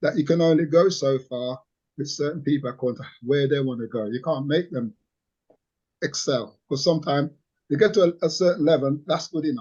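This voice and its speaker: Speaking at a fairly quick pace, a man has a fairly high pitch, ordinary pitch variation and a somewhat breathy sound. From Jamaica, raised in England from age nine. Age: 60s. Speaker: community activist. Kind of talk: interview. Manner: halting, repetitive.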